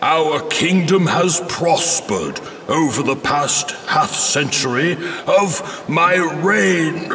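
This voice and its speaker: A man puts on a character voice, pitched high and delivered at a very slow pace. Clear background noise is audible. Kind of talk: fantasy royal address. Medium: machinima. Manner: stately, formal.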